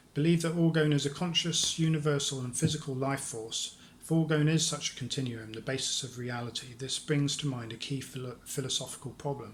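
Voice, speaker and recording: A man talks at a fairly quick pace with hardly any pauses, in a fairly high voice with fairly even intonation and big swings in loudness. Room echo and noticeable background noise are present. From London. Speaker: lecturer on orgone theory. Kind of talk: lecture. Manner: halting.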